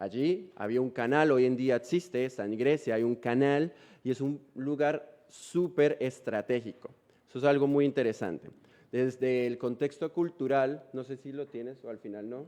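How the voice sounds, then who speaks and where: In a quiet background, a man with a dark, mellow tone talks at a moderate pace with ordinary pitch variation. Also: medium pitch for a man. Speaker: missionary preacher. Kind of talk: sermon. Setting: church.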